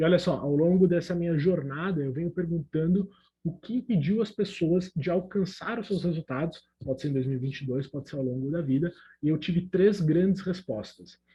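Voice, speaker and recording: This man's high pitch, with ordinary pitch variation, comes at a fairly quick pace. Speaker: emotional intelligence coach, speaker. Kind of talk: online talk.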